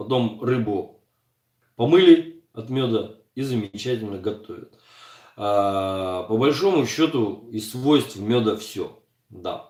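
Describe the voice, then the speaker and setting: The speech moves at a very slow pace, broken by long, frequent pauses. Its intonation is lively. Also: man, medium pitch for a man. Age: 40s. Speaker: streamer answering viewers. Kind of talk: live stream chat reading viewer comments. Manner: casual conversational.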